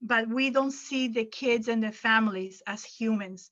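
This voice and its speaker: A woman with a non-native accent speaks very slowly in a bright, sharp tone, her fairly high pitch moving with ordinary variation. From Venezuela. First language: Arabic. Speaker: educator and workshop presenter. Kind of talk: conference workshop Q&A. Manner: halting, with repetitions.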